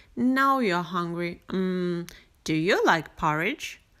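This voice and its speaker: A put-on character voice moves at a very slow pace. The recording is very clean, with a silent background. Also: woman, medium pitch for a woman. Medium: read story. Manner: fussy, flustered.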